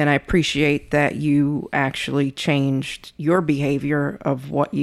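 At a moderate pace, a woman talks with a very deep, low pitch and fairly even intonation. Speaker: co-host spouse. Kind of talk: casual chat. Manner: soft-spoken.

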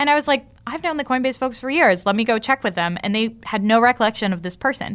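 Very fast and lively in intonation, the speech comes on a very clean recording with a silent background. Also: woman, fairly high pitch for a woman. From Italy. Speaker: venture capital investor. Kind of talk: interview conversation.

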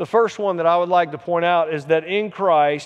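With an American accent, a man is talking. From US South. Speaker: pastor. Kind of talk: sermon.

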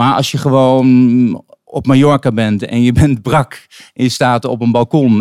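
This man's voice sits at a medium pitch, dry and close with no echo. The recording is very clean, with a silent background. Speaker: singer-songwriter. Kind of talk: casual interview. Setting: live recording in a wine bar. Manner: soft-spoken.

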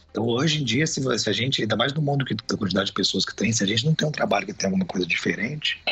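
A man speaks at a very fast pace with lively intonation. Noticeable background noise can be heard. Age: 40s. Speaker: photographer and businessman. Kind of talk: interview. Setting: video call.

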